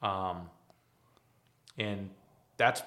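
The speaker is a man with a fairly low pitch. His intonation is monotone and flat. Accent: American. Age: 30s. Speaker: glass company owner. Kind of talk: interview.

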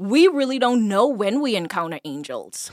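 A woman with a Bahamian accent speaks at a high pitch with very wide pitch swings, in a very clean recording with a silent background. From Bahamas (Eleuthera). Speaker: podcast guest host. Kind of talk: casual faith discussion.

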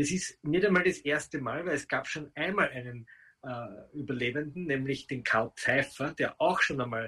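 A man speaks at a fairly high pitch with a bright, sharp tone. His pace is moderate, with ordinary pitch variation. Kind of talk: interview.

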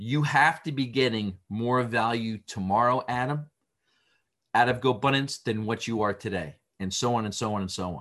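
At a moderate pace, a man talks in an ordinary speaking voice, with medium pitch and ordinary pitch variation. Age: 50s. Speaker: business executive. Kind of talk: interview.

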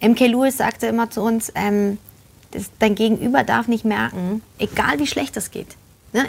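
A woman speaks at a fairly high pitch, and her voice is somewhat breathy. Her pitch varies in an ordinary way. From Germany, Polish family. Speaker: actress and voice actor. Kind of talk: casual chat. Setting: live video stream.

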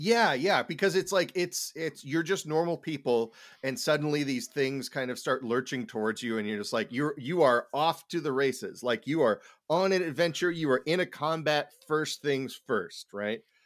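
A man's plain, everyday voice with lively intonation at a moderate pace, on a very clean recording with a silent background. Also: fairly high pitch for a man. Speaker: podcast host. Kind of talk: casual chat.

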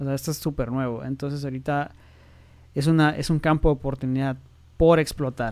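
This man's voice sits fairly high and stays monotone and flat. He talks at a fairly quick pace. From Mexico, Tijuana. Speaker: nuclear medicine physician. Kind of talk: interview.

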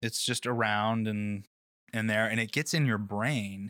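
The man's voice sits at medium pitch, with a bright, sharp tone. The sound is dry and close with no echo, on a very clean recording with a silent background. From Nashville, Tennessee. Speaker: surfer, first-time podcast guest. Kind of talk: casual interview chat. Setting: lounging on a sofa in studio.

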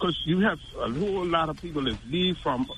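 Noticeable background noise sits behind a man speaking at a fairly quick pace. His pitch is fairly high for a man. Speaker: caller. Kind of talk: call-in comment. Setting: phone call.

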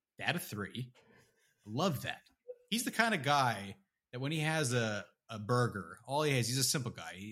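Here is a man with an ordinary speaking voice. His pitch is medium. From Canada. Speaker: podcast co-host. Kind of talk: casual chat.

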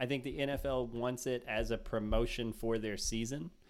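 Here a man talks at a moderate pace and a medium pitch. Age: 40s. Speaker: podcast host. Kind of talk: casual chat. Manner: animated.

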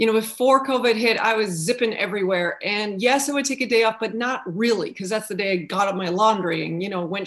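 Talking at a very fast pace, a woman uses lively intonation with a Canadian accent. Her pitch is fairly high. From Canada. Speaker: prophetic ministry leader. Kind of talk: video call panel discussion.

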